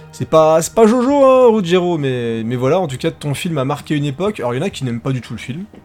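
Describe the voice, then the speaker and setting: With music in the background, a man at a fairly high pitch speaks very fast, his pitch swinging very widely. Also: hardly any pauses. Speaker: podcast co-host. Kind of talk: casual chat. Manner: animated.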